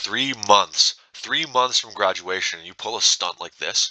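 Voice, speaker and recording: Putting on a character voice, a man talks at medium pitch and a moderate pace with ordinary pitch variation and big swings in loudness, the sound dry and close with no echo. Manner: stern, reprimanding.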